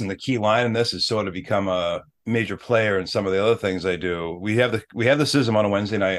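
A man speaks at a fairly quick pace in a plain, everyday voice, fairly low in pitch, with an American accent. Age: 40s. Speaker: former firefighter and mental health advocate. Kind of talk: personal testimony in interview.

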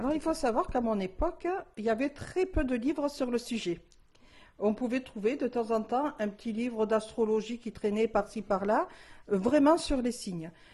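The voice has a dark, mellow tone and lively intonation at a moderate pace. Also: woman, fairly high pitch for a woman. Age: 60s. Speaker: tarot reader. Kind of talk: interview testimony. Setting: at the guest's home. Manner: hesitant, many fillers.

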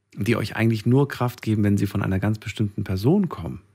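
Using lively intonation, a man with a fairly low pitch has an unremarkable speaking voice. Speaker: radio host. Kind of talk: late-night call-in radio show. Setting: studio.

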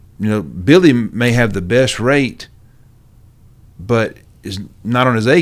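The speaker is a man with a Southern US accent. His pitch is medium, with ordinary pitch variation. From Georgia small towns. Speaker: real estate agent. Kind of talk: casual interview.

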